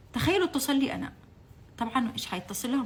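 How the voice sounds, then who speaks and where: Over noticeable background noise, a woman talks in an animated tone with lively intonation. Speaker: political commentator, former TV channel staff. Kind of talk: impassioned political monologue. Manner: animated, emotional; halting, repeats words.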